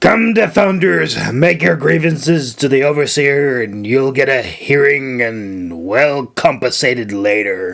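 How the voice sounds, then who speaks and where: Using a put-on character voice, a man growls in a raspy, gruff way at medium pitch and a fairly slow pace, with hardly any pauses. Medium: read story. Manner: gruff, curt, growling.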